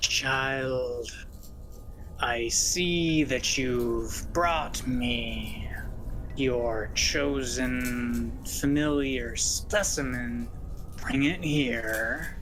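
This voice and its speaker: Over loud background noise, a put-on character voice speaks at a very slow pace. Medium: actual play. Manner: commanding, condescending.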